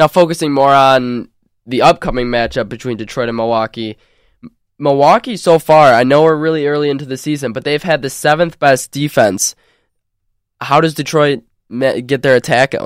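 In a very clean recording with a silent background and a dry, close sound with no echo, a man with an unremarkable speaking voice talks at a moderate pace, with a fairly high pitch and ordinary pitch variation. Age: 20s. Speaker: college radio sports host. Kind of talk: sports talk show. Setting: studio.

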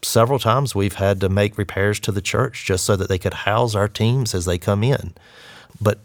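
In a Southern US accent, the speaker keeps a moderate pace and fairly even intonation on a very clean recording with a silent background. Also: man. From Eastern North Carolina. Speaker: disaster relief worker. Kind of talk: interview.

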